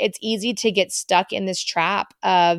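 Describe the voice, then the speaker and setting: In a very clean recording with a silent background, a woman speaks in a normal speaking voice at medium pitch with fairly even intonation. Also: dry, close sound with no echo. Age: 40s. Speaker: podcast host. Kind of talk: casual monologue. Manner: warm, conversational.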